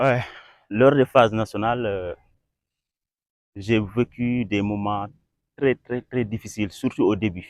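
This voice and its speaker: Speaking at a very slow pace with long, frequent pauses, a man uses a fairly low pitch and fairly even intonation. The sound is dry and close with no echo, against a quiet background. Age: 20s. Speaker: young football referee. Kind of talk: interview. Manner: halting, many repetitions.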